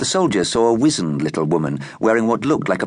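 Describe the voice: The recording consists of plain reading aloud.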